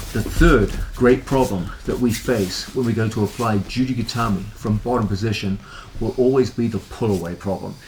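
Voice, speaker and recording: A man speaks at a moderate pace and medium pitch with ordinary pitch variation, and there is noticeable background noise. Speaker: martial arts instructor. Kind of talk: instructional tutorial. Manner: relaxed.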